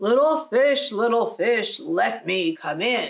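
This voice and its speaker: Woman in a put-on character voice, fairly high in pitch and fairly slow. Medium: read story. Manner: menacing, roaring.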